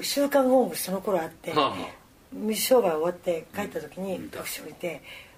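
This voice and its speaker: A woman speaks at a moderate pace, her pitch swinging very widely. Noticeable noise fills the background. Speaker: professional wrestler. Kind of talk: casual chat.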